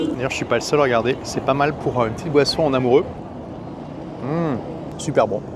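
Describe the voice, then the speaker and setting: A man talks at a fairly quick pace but stops for long, frequent pauses. Noticeable background noise runs underneath. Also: medium pitch for a man. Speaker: travel vlogger. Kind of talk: travel vlog narration. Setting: outdoors by the sea. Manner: animated.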